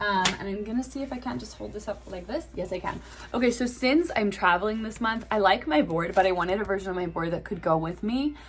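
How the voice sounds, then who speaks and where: Talking at a very fast pace with hardly any pauses, a woman uses lively intonation with big swings in loudness over noticeable background noise. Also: medium pitch for a woman. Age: 20s. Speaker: classical singer and vlogger. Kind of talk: casual vlog monologue. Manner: casual with many filler words.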